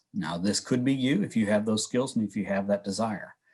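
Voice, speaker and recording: A man's voice with ordinary pitch variation, on a very clean recording against a silent background. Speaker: workforce development presenter. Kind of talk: presentation. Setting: virtual workshop. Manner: fast.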